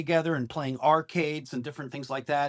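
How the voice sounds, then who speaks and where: Talking at a fairly quick pace, a man with an American accent has a fairly high pitch. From US Midwest, Oshkosh, Wisconsin. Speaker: rock singer. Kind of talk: interview. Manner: animated.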